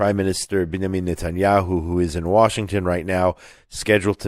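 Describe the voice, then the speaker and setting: A man speaks with a very deep, low pitch and monotone, flat intonation. The recording is very clean, with a silent background and a dry, close sound with no echo. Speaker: radio show host. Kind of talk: talk radio monologue.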